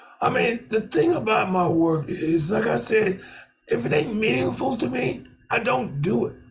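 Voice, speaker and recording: Music plays in the background as a man with an American accent talks at a moderate pace in a high voice with very wide pitch swings. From Brooklyn, New York. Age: 70s. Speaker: filmmaker. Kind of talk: interview.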